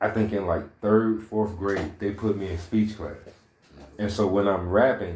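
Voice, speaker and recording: A man speaks at a fairly low pitch in a monotone, flat intonation, with audible room echo. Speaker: podcast host interviewing rappers. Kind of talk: casual chat.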